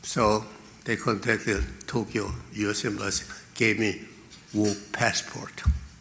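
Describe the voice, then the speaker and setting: Bright, sharp tone with vocal fry, very even loudness, ordinary pitch variation and long, frequent pauses. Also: man, fairly slow pace. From Korea. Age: 80s+. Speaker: venture capitalist. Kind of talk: speech. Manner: halting.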